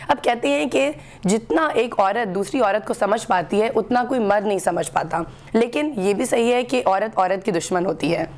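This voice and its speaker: A woman at medium pitch with lively intonation, very even loudness and a fairly slow pace, over noticeable background noise. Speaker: TV talk show host. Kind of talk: TV talk show.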